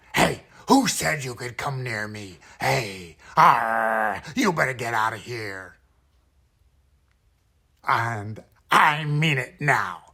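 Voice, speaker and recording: Putting on a character voice, a man growls in a raspy, gruff tone at medium pitch, speaking at a very slow pace with long, frequent pauses. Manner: gruff, threatening.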